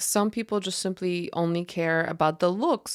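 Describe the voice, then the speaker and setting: In an unremarkable speaking voice, a woman talks at a moderate pace and a fairly low pitch with ordinary pitch variation. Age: 30s. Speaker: podcast host. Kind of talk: solo podcast monologue. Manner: conversational.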